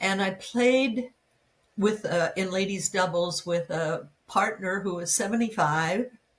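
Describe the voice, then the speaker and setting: A woman speaks at a medium pitch with ordinary pitch variation and a somewhat breathy quality. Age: 90s. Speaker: pickleball player. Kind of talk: interview answer.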